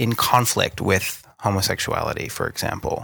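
This man has a bright, sharp tone and an American accent. The recording is very clean, with a silent background. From US Northeast. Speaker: historian and lecturer. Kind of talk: casual interview. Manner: halting, hesitant with fillers.

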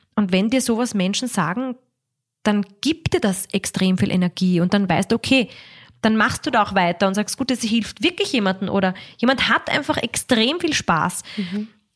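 A woman's voice is somewhat breathy, with lively intonation. The sound is dry and close with no echo. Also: medium pitch for a woman, moderate pace, very even loudness. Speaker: cabaret artist and musical performer. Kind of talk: interview. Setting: her home in Vienna.

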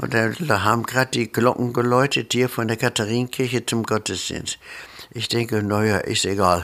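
The tone is bright and sharp. This man's pitch sits in the medium range. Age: 80s+. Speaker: retired nurse and carnival organizer. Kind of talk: interview.

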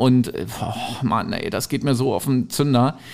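With a plain, everyday voice, a man talks at a fairly slow pace and a fairly high pitch. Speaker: podcast co-host, radio presenter. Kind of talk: casual chat.

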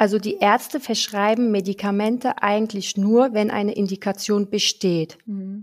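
Moving at a moderate pace with hardly any pauses, a woman speaks at a medium pitch. She has a plain, everyday voice with fairly even intonation. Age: 30s. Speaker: pharmacist. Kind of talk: interview.

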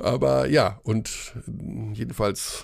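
A man talks with very wide pitch swings. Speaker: basketball podcast host. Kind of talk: casual chat.

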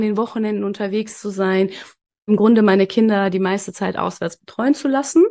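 A woman with an unremarkable speaking voice talks at medium pitch with fairly even intonation. The background is quiet. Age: 30s. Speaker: business consultant and mentor. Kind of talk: casual interview chat.

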